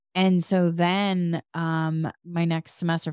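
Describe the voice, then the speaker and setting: An unremarkable speaking voice from a woman with an American accent, fairly low in pitch, fairly even in intonation, dry and close with no echo, on a very clean recording with a silent background. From Massachusetts. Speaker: podcast host. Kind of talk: casual chat.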